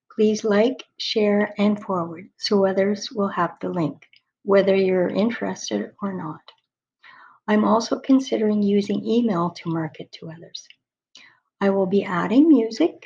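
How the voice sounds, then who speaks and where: In a dark, mellow, somewhat breathy voice, a woman speaks with ordinary pitch variation and big swings in loudness. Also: medium pitch for a woman, fairly slow pace. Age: 60s. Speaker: spiritual author telling her story. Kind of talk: personal video monologue.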